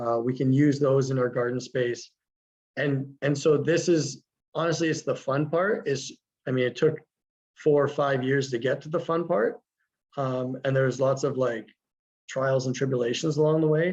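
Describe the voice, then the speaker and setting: A man's fairly high-pitched voice with fairly even intonation and long, frequent pauses. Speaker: teacher running a school garden. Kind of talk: webinar presentation. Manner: fast.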